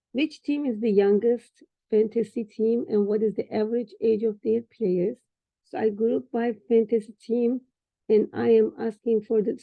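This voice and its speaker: Speaking at a moderate pace with a Turkish accent, a woman has a fairly high pitch and ordinary pitch variation. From Turkey. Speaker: trainee doing a data exercise. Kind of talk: screen-share tutorial session. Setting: video call with screen share. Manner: halting.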